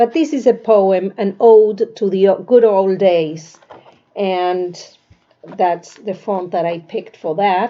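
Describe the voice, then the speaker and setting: In a Spanish accent, a woman talks very slowly at medium pitch with ordinary pitch variation. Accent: Spanish accent, often mistaken for Russian. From Argentina. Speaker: author. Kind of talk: casual book presentation. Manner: halting, with fillers.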